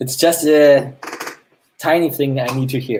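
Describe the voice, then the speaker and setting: A man's fairly high voice with a German accent. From Germany. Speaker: AR game developer. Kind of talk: game hosting on live stream. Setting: live stream. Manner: halting.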